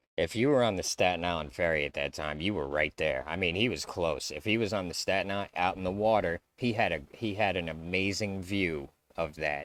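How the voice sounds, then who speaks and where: On a very clean recording with a silent background, a man with an American accent talks at a fairly quick pace in a very deep, low voice with ordinary pitch variation. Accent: New York, watered down. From New York. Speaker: YouTube commentator. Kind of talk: video reaction commentary. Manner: casual, halting.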